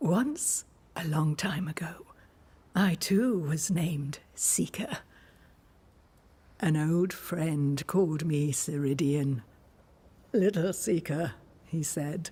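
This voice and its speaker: This put-on character voice sits at a middle pitch. The pace is very slow, with long, frequent pauses. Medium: video game. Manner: calm, measured, enigmatic.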